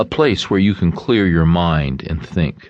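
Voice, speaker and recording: Very deep, low male voice with vocal fry and a warm tone, lively intonation at a fairly slow pace. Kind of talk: audiobook narration, reading a self-help book aloud. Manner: warm, earnest, conversational teaching tone.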